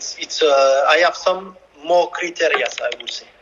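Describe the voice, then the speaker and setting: A man speaks at a fairly slow pace with a French accent, and there is noticeable background noise. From France. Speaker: football coach. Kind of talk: interview. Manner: halting.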